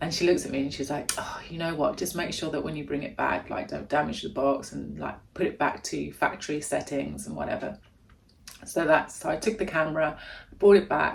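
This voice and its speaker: Animated tone at a fairly quick pace over noticeable background noise. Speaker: vlogger. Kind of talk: casual vlog chat.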